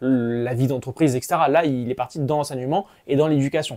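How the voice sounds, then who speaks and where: The recording is very clean, its background silent. In it, a man talks in a dark, mellow tone. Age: 20s. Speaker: maths teacher. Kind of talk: casual vlog monologue. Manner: hesitant, many fillers.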